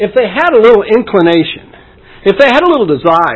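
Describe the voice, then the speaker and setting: The pace is fairly quick. The pitch swings very widely. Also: man. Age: old. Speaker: preacher. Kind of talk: sermon. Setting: church.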